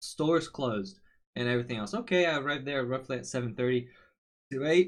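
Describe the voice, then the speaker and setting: A man with a medium pitch speaks at a fairly quick pace. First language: Portuguese. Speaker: streamer. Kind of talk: casual storytelling. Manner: casual, with fillers.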